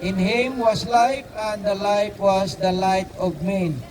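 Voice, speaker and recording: Delivered at a very slow pace with ordinary pitch variation, the speech sits over noticeable background noise. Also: man. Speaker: street preacher. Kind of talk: street preaching sermon. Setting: outdoors in a city park. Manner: halting, with filler words and repetitions.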